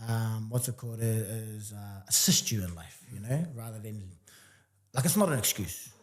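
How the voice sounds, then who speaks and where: A man's medium-pitched voice shows big swings in loudness and ordinary pitch variation. It sounds somewhat breathy. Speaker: entrepreneur and fitness coach. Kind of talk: casual interview chat. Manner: fast; animated.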